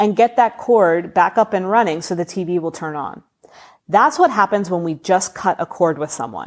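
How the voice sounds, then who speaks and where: Very cleanly recorded against a silent background, a woman with a medium pitch speaks in an animated tone with lively intonation. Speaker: spiritual podcast host. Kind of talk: casual solo podcast talk. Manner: fast.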